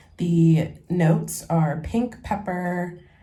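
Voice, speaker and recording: Amid audible room echo, a woman with an American accent speaks at a fairly low pitch with fairly even intonation. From San Francisco, California. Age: 20s. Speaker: lifestyle vlogger. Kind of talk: casual vlog talk. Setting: in a bath at home. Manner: relaxed, casual.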